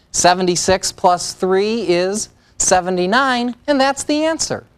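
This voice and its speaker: Using an ordinary speaking voice, a woman talks at a medium pitch and a fairly slow pace, with lively intonation. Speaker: math professor. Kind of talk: tutorial.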